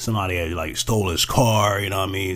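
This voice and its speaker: Vocal fry runs through a man's very deep, low voice, which varies in pitch in an ordinary way. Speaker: podcast host. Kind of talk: monologue commentary.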